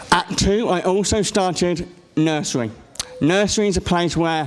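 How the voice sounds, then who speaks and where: Speaking at a moderate pace with an English accent, a man is heard amid audible room echo and noticeable background noise. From England. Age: 20s. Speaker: conference speaker with a rare condition. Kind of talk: personal testimony talk. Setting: stage with audience. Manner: halting.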